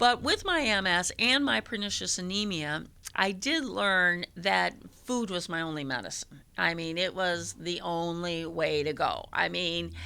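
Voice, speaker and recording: A woman talks at a fairly slow speed, captured on a very clean recording against a silent background. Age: 60s. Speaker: church member giving testimony. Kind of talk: testimony. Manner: halting.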